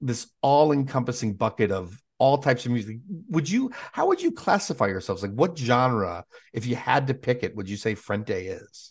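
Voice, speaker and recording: A somewhat breathy man of medium pitch, lively in intonation, at a moderate pace. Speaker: podcast host and interviewer. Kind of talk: casual chat and interview.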